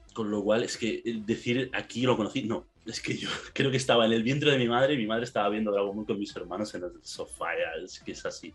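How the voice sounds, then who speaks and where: Very fast and with fairly even intonation, a man speaks in a Castilian accent. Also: medium pitch for a man. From Spain. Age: 20s. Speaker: anime fan guest. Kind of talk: casual chat.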